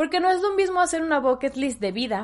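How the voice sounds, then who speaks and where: A woman's animated tone at a fairly quick pace, lively intonation, quiet background. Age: 20s. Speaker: podcast host. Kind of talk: solo podcast monologue.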